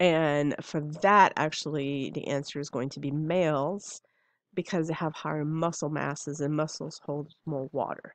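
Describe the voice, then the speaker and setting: Over a quiet background, a woman with a very deep, low pitch speaks at a moderate pace with fairly even intonation, in a dry sound with no echo. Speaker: instructor. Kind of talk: lecture.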